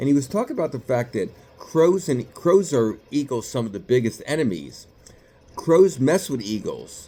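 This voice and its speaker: Speaking at a moderate pace with a slight New York accent, a man has a fairly high pitch and a dark, mellow tone. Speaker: psychiatrist. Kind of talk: motivational talk to camera. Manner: casual, conversational.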